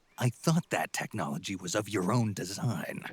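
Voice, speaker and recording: In a put-on character voice, a man speaks at a fairly low pitch with very wide pitch swings and a moderate pace. The sound is dry and close, with no echo. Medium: video game. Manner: terse, gruff.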